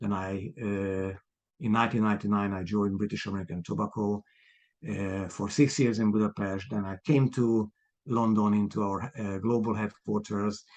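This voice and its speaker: A man with a Hungarian accent speaks at a moderate pace in a fairly low voice. His intonation stays fairly even against a quiet background. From Hungary. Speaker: property developer, ex-marketing executive. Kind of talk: podcast interview. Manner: halting, many fillers.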